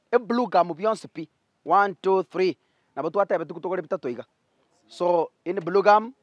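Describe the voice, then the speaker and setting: Against a quiet background, a man with a high pitch talks at a fairly quick pace, his pitch varying in an ordinary way. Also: dry sound with no echo. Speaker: charity vlogger. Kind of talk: casual vlog commentary. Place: workshop.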